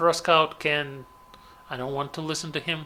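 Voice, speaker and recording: The speaker is a man with a fairly high pitch. He keeps a moderate pace. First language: Russian. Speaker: gaming commentator. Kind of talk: gameplay commentary. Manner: halting.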